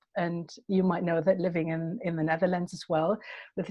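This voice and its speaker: A woman's medium-pitched voice with a German accent. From Germany. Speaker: poet. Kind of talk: interview. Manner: halting.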